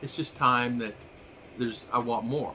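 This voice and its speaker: This man has a medium pitch and an American accent. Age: 60s. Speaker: vlogger. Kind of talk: casual monologue. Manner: halting.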